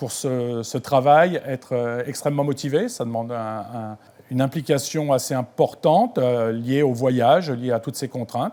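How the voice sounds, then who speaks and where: A man speaks with a dark, mellow tone at a medium pitch. His pace is moderate and his intonation fairly even. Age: 60s. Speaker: ground station technician. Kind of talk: interview. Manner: hesitant, many fillers.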